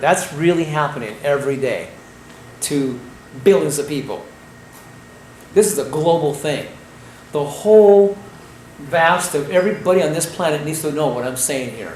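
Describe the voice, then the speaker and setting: At a moderate pace with ordinary pitch variation and long, frequent pauses, the voice comes through noticeable background noise and audible room echo. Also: man. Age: 60s. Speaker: raw food health educator. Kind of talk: health lecture. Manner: animated.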